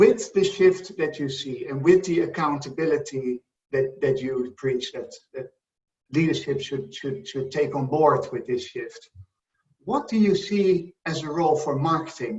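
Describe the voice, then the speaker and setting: With a Dutch accent, the speaker uses lively intonation at a moderate pace. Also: man. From Netherlands. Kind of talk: interview.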